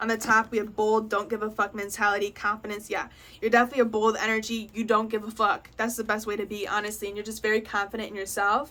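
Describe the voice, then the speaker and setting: Speaking at a very fast pace, a woman has a fairly high pitch, a bright, sharp tone and monotone, flat intonation. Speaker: tarot reader. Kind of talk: pick-a-card tarot reading. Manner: casual.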